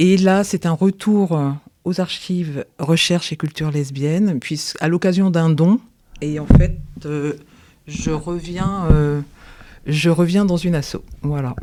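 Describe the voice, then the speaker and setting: Over noticeable background noise, a woman speaks at a very slow pace with fairly even intonation and long, frequent pauses. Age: 60s. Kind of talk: podcast interview. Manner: hesitant, many fillers.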